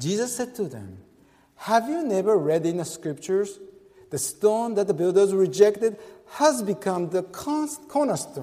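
At a moderate pace, a man speaks in a high voice with long, frequent pauses. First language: Japanese. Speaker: pastor. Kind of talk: sermon. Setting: church. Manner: halting.

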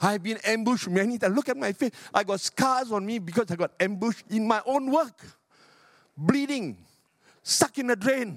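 Delivered at a moderate pace in an animated tone, the speech shows ordinary pitch variation and a dry, close sound with no echo. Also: man, high pitch for a man. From Singapore. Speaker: pastor. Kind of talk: sermon. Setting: church.

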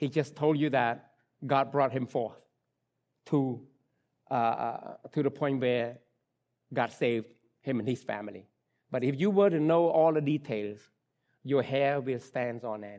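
With a Khmer accent, a man at medium pitch speaks with long, frequent pauses. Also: ordinary pitch variation, fairly slow pace. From Cambodia. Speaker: pastor. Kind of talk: sermon. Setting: church. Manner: halting.

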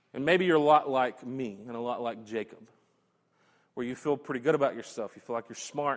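A man's plain, everyday voice at medium pitch, fairly quick in pace and fairly even in intonation, on a very clean recording with a silent background. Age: 30s. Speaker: pastor. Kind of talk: sermon. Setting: church.

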